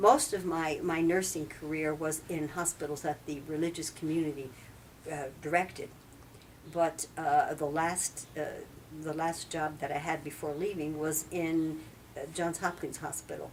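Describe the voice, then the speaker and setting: A woman speaks at a moderate pace in a very deep, low voice with a monotone, flat delivery. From New Jersey. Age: 70s. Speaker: retired nurse and former nun. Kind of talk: interview. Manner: halting.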